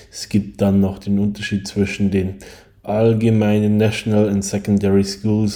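The speaker is a man with a fairly low pitch. His voice carries a dark, mellow tone. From Bavaria, Germany. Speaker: podcast host. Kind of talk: solo podcast monologue.

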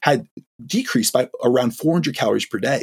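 A man talks at a very fast pace in an American accent, somewhat breathy and with very wide pitch swings. The sound is dry and close with no echo. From New York, US Northeast. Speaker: physique coach. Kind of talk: podcast interview. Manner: fast talker, lively; animated.

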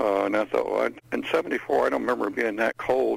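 A man with an American accent talks at a fairly quick pace. Noticeable background noise runs behind him. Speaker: caller. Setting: video call.

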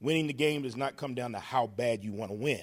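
A man's medium-pitched voice, an ordinary speaking voice with ordinary pitch variation, on a very clean recording with a silent background. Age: 40s. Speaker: college football coach. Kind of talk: press conference.

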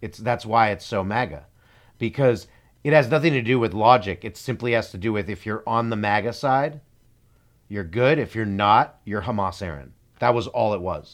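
Here a man has a plain, everyday voice at medium pitch with ordinary pitch variation. He moves at a moderate pace on a very clean recording with a silent background. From Canada. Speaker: podcast co-host. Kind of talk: casual chat.

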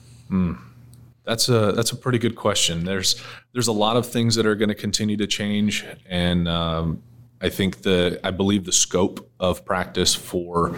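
This man has a very deep, low voice, fairly even intonation, and an American accent. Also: very clean recording, silent background. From outside Virginia. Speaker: EMS program director. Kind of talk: interview.

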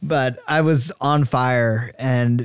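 A man has a plain, everyday voice at a medium pitch, with an American accent and fairly even intonation. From US South, Georgia, later Iowa from age 13. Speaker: university student. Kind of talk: interview testimony. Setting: studio.

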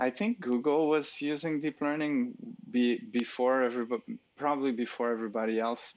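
This man talks with a French accent. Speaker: speech recognition expert. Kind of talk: interview, conversational. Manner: hesitant, filler-heavy.

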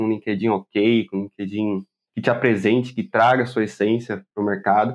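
A man with a plain, everyday voice talks fairly quickly, his medium pitch held in fairly even intonation. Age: 20s. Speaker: software engineer. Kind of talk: casual interview.

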